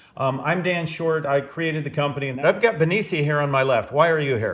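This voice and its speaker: Fairly high male voice at a fairly quick pace, with ordinary pitch variation and noticeable background noise. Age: 60s. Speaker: podcast host, business owner. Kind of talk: casual chat.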